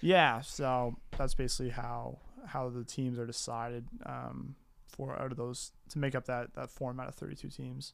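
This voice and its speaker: This man has a Canadian Maritime accent. His pace is moderate. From Maritime Canada, New Brunswick. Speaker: soccer podcast co-host. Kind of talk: casual chat.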